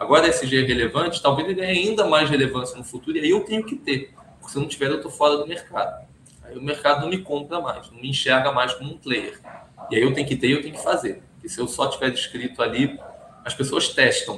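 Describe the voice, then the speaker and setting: Loudness swings widely as a man with a fairly high pitch speaks at a very fast pace, his pitch varying in an ordinary way. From Brazil. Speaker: compliance consultant. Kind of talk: interview. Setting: office.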